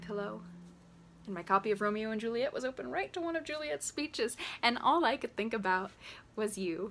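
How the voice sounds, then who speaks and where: Her delivery moves at a fairly quick clip. The woman's pitch rises and falls very widely. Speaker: actor performing a monologue. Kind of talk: acted monologue.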